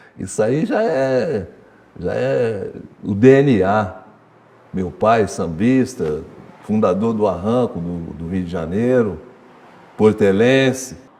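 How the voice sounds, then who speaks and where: A man at a very slow pace with long, frequent pauses and audible room echo. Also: fairly low pitch for a man, lively intonation. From Ribeirão Preto, São Paulo state. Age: 60s. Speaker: samba school drum master. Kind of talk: documentary interview. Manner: casual, colloquial.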